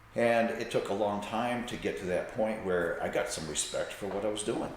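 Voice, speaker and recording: A man talks at a moderate pace. Noticeable background noise and audible room echo surround him. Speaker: salon owner and hairstylist. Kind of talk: podcast interview. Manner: animated.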